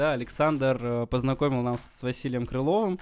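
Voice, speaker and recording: A man's unremarkable speaking voice at medium pitch. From Mari El, Russia. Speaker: startup co-founder and nonprofit digital director. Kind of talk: casual interview.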